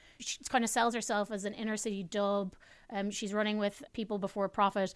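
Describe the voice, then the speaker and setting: In a very clean recording with a silent background, a woman speaks with an Irish accent. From Ireland. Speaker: political commentator and activist. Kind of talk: casual chat.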